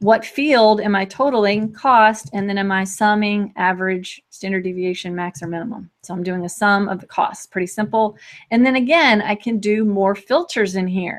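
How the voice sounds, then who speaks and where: At a medium pitch with ordinary pitch variation, a woman speaks with hardly any pauses. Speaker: tech trainer hosting a weekly web show. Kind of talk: software demo tutorial. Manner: fast.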